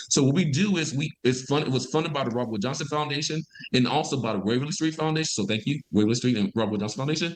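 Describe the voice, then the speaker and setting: Talking at a very fast pace with a Mississippi accent, a man uses lively intonation at a medium pitch. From US South, Mississippi (Vicksburg). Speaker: environmental health scientist. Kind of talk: interview conversation. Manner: fast when excited.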